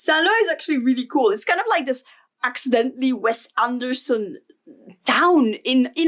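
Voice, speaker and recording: A woman talks with a Flemish Belgian accent. Her pitch is high. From Flanders, Belgium. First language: Dutch. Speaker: stationery YouTuber. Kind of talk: casual vlog flip-through. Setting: home desk filming. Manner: casual with frequent fillers.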